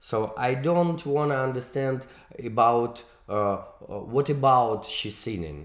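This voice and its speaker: A man speaks very slowly at a medium pitch. His voice has ordinary pitch variation and audible room echo. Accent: non-native. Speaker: music video director and producer. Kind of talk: interview. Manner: halting, many fillers.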